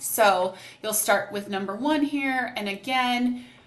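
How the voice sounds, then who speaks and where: A woman's fairly high-pitched voice at a fairly slow pace, with ordinary pitch variation, noticeable background noise and audible room echo. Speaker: program coordinator. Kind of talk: tutorial.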